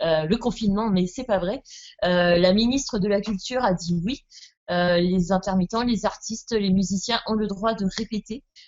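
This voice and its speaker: With ordinary pitch variation, a woman speaks at a medium pitch and a moderate pace. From southwest France. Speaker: rock band musician. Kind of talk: interview.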